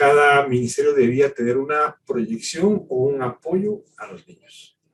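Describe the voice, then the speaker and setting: A man with a fairly high pitch and a somewhat breathy voice speaks at a fairly slow pace. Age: 60s. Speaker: pastor. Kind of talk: sermon.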